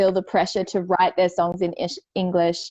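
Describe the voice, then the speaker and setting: Her tone is dark and mellow. The woman speaks with an Australian accent. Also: dry, close sound with no echo. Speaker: indie singer-songwriter. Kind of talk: casual chat.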